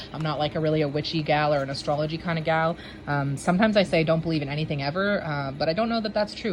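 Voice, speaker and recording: Over noticeable background noise, a woman with a very deep, low voice speaks at a very fast pace. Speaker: planner vlogger. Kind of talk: casual walkthrough. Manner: hesitant, many fillers.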